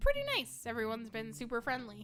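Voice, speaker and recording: A woman speaks at a fairly quick pace in a put-on character voice, with clear music playing in the background. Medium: game stream.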